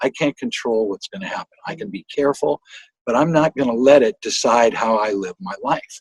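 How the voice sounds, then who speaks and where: A man at a moderate pace, with a dry, close sound and no echo. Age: 60s. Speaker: singer-songwriter and guitarist. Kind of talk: interview. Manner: halting.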